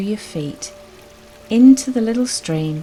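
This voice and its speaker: With music in the background, a woman speaks at a very slow pace using lively intonation. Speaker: guided meditation guide. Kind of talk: guided meditation.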